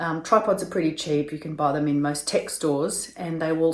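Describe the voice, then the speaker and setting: This woman has a very deep, low voice and an Australian accent. She talks at a fairly quick pace with fairly even intonation. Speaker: video tutor. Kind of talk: tutorial.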